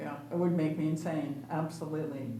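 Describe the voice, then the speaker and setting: Over noticeable background noise and audible room echo, a woman with a very deep, low pitch speaks at a fairly quick pace. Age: 70s. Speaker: senior commissioner. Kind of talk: public meeting discussion.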